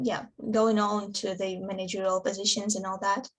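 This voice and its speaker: A woman with a Russian accent, at a fairly slow pace. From Russia, Samara region. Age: 20s. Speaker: interviewee. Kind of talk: interview. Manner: halting, many fillers.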